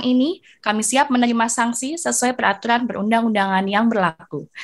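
A woman with a fairly high pitch, ordinary pitch variation and a very fast pace, over a quiet background. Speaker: master of ceremonies. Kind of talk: formal event hosting. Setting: video call. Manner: formal.

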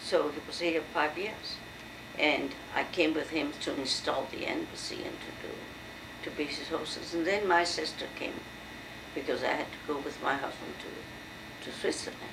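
Her very deep, low voice keeps a fairly even intonation. Noticeable background noise sits behind the woman. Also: moderate pace. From France. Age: 70s. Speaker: university professor. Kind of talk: oral history interview. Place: home room. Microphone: old recording.

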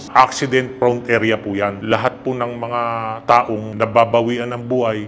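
Delivered at a moderate pace in a monotone, flat intonation, the voice sits over clear music in the background. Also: man. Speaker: witness. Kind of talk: interview answer. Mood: calm, respectful storytelling. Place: hall.

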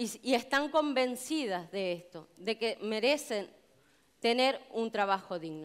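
Speaking at a very slow pace, a woman uses lively intonation at a fairly high pitch. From Canary Islands, Tenerife; Canary Islands. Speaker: union delegate and hotel chambermaid; speaker. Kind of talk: public speech. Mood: earnest, committed. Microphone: headset.

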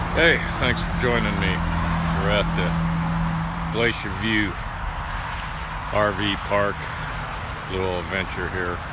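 A man speaks at a very slow pace with long, frequent pauses. The sound is dry with no echo, though loud background noise is present. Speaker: travel vlogger. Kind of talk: casual vlog chat. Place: open country. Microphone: phone near.

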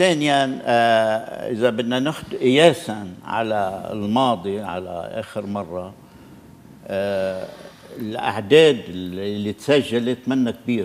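A man at a very slow pace, with light background noise behind him. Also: ordinary pitch variation. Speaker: veteran MP; interview guest. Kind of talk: TV political interview. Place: studio. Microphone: lapel.

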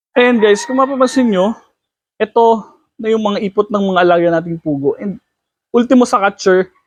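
A man talks in a high pitch, and the sound is dry and close with no echo. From Philippines, Batangas. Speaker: quail farmer and video creator. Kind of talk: casual tutorial video.

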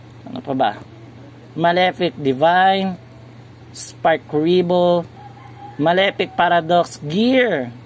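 Over light background noise, a man with a high voice speaks at a very slow pace with lively intonation. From Philippines. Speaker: YouTuber, card game reviewer; toy channel host. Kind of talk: casual product review video. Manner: halting, with fillers. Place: shop. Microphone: phone near.

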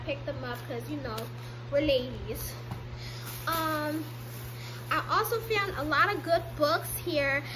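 Noticeable background noise behind a woman speaking. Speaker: haul vlogger. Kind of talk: casual vlog chat. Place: home room. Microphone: phone near.

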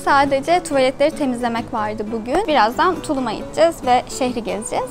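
Clear music plays in the background as a woman speaks. Her pace is fairly quick, with ordinary pitch variation. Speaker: travel vlogger. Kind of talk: casual vlog chat. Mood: relaxed, cheerful. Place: tent. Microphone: phone near.

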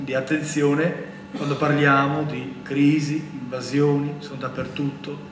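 A man with an Albanian accent speaks at a fairly high pitch in a monotone, flat intonation. Noticeable background noise sits behind him. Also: fairly slow pace. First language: Albanian (speaking Italian). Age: 40s. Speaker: priest panelist. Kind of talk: public talk. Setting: auditorium with audience. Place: hall. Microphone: podium.

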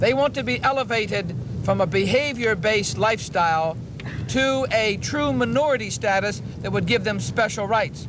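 A man speaks at a moderate pace in a high pitch, with clear background noise behind him. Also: ordinary pitch variation.

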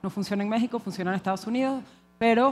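This woman talks in a Venezuelan accent. Her pitch sits fairly high. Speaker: conference speaker. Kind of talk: conference talk. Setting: stage with audience. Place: hall. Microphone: headset.

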